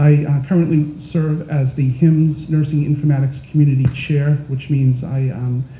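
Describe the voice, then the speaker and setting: Through noticeable background noise, a man with an American accent speaks in a monotone, flat way at a fairly high pitch. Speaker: nurse and health IT consultant. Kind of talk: panel presentation.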